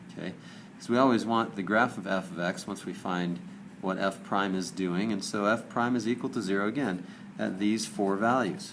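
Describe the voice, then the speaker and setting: A man's fairly low-pitched voice at a fairly quick pace, with audible room echo. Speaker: math teacher. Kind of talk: lecture.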